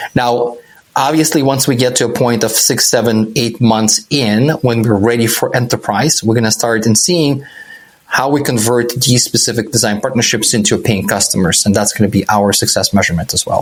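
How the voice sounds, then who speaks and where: A man with a non-native accent speaks at a medium pitch and a moderate pace, with ordinary pitch variation. His loudness stays very even, and background noise is noticeable. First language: not English. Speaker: startup founder. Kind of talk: podcast interview.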